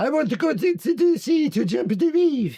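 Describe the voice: Putting on a character voice with an Italian accent, a man talks at a moderate pace in an extremely high pitch with very wide pitch swings.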